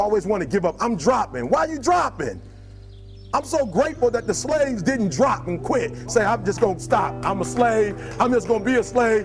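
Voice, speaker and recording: Music sits in the background as a man talks at a moderate pace. His high voice makes very wide pitch swings. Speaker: motivational speaker. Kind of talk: motivational speech to a live audience. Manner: passionate, emphatic.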